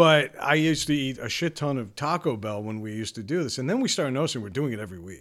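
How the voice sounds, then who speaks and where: Very fast male speech with hardly any pauses, lively intonation and big swings in loudness, on a very clean recording with a silent background. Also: medium pitch for a man. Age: 40s. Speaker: podcast co-host. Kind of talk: casual chat; scripted monologue.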